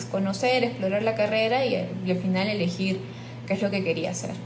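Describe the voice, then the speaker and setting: The woman speaks at a medium pitch with ordinary pitch variation. Both audible room echo and noticeable background noise are present. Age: 20s. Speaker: biologist. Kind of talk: interview testimony. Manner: hesitant with filler words.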